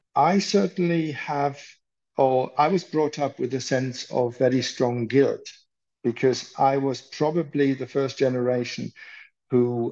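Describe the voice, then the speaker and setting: Speaking fairly slowly, a man with a German accent has a medium pitch. His intonation stays fairly even. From Germany, rural. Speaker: psychiatrist. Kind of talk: interview.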